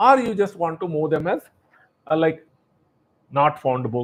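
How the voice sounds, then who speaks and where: This man's voice is fairly high-pitched and somewhat breathy, with lively intonation. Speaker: software demonstrator. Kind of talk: tutorial. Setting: live webinar.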